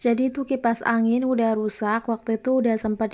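A woman's fairly high voice in a flat monotone at a moderate pace, over a quiet background. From Central Java (Kebumen), Indonesia. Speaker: vlogger, housewife. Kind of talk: casual vlog narration. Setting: at home.

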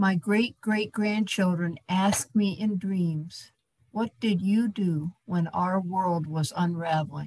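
Against a quiet background, a woman talks very slowly in a medium pitch. Her voice is somewhat breathy, and her intonation stays fairly even. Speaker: activist, donor; speaker. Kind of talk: fundraising appeal. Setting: video call. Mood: earnest, urging. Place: home room. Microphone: video call.

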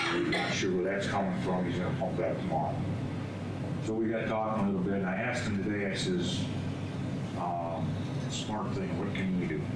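Talking at a fairly quick pace, a man is heard with audible room echo and loud background noise. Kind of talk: meeting report. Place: meeting room. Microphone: camera far.

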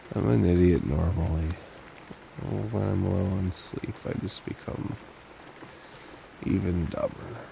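Soft-spoken and very deep in pitch, a man speaks at a fairly slow pace with long, frequent pauses, the sound dry with no echo and noticeable background noise behind him. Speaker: ASMR roleplay creator. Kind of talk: boyfriend comfort roleplay. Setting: home recording, low-quality mic. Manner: soft-spoken, slow.

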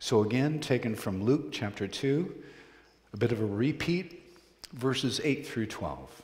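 The speaker talks at a fairly slow pace in a somewhat breathy voice with lively intonation. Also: man. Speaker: preaching minister. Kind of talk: sermon. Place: church.

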